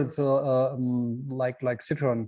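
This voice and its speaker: In a German accent, a man with a dark, mellow tone talks at a fairly slow pace against a quiet background. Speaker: brewer. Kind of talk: online workshop tasting talk. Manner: halting.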